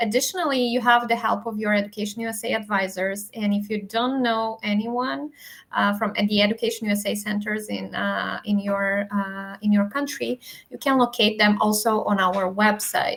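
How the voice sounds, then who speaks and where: Her intonation fairly even, a woman with a non-native accent talks at a fairly high pitch. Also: moderate pace. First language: not English. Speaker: educational advising webinar host. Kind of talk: webinar wrap-up. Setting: live online webinar.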